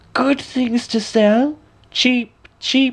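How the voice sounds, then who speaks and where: In a put-on character voice, a man speaks at an extremely high pitch with monotone, flat intonation. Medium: read story. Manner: scheming, sly.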